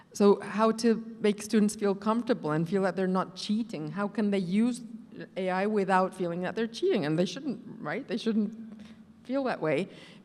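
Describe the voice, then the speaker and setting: With noticeable background noise behind her, a woman's medium-pitched voice moves at a moderate speed, and her pitch shifts in an ordinary way. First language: not English. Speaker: professor. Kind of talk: panel discussion.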